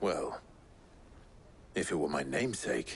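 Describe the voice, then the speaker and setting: A man puts on a character voice, very deep, low and raspy. He keeps a moderate pace over clear background noise. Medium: video game.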